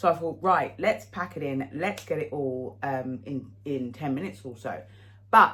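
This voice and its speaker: A woman speaks at a moderate pace, her intonation lively throughout. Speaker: fashion haul vlogger. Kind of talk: casual chat to camera. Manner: hesitant, with fillers.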